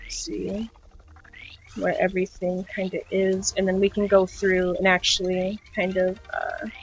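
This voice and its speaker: A woman speaks at a fairly slow pace. Her pitch sits in the medium range. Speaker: digital art tutorial streamer. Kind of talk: tutorial. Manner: casual, filler-heavy.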